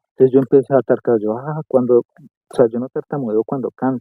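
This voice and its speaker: With a medium-pitched voice, a man speaks in a monotone, flat way. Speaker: architect and singer, podcast guest. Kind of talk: casual interview chat.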